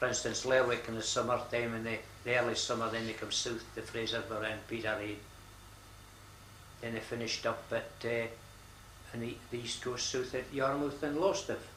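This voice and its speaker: Moderate pace and fairly even intonation in a northeast Scottish accent, with long, frequent pauses and noticeable background noise. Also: man, medium pitch for a man. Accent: north-east Scottish. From Buckie, north-east Scotland. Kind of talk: interview answer.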